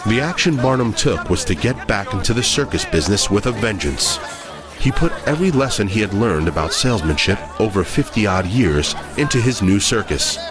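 Over music in the background, a man speaks at medium pitch and a fairly quick pace. His pitch swings very widely while his loudness stays very even. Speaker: documentary narrator. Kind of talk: scripted narration.

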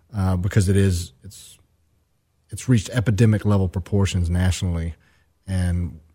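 A man with a Southern US accent talks at a moderate pace in a dark, mellow, somewhat breathy tone. The recording is very clean, with a silent background. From Atlanta, Georgia. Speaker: recovery advocate and former addict. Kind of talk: interview. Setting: studio. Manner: halting, with fillers and repeats.

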